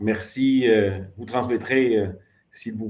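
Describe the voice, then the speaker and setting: A man speaks with a fairly low pitch. His pace is fairly slow. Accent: southern French. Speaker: education ministry official. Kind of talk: formal closing speech. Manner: formal, with frequent hesitations.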